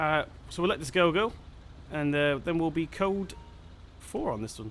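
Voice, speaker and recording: The intonation of this man is lively. He talks at a fairly high pitch. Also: moderate pace. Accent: English. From England. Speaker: gaming YouTuber. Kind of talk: gameplay commentary. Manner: casual, hesitant with fillers.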